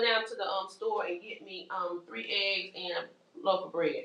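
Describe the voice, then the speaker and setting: Moderate pacing and an animated tone, with noticeable background noise behind them. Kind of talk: workshop presentation. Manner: loud.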